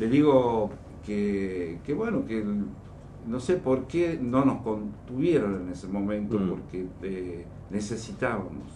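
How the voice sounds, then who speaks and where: A man's fairly slow speech with audible room echo. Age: 50s. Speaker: war veteran. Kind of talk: radio interview. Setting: studio.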